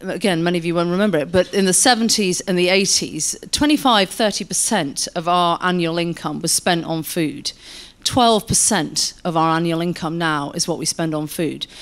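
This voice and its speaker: A woman's fairly low voice at a fairly slow pace, with ordinary pitch variation. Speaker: guest. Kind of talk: panel discussion answer. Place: hall. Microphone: handheld.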